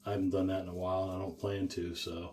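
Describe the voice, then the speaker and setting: A man speaking at a moderate pace. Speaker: shaving channel host. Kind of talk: casual tutorial. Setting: small room, talking to camera.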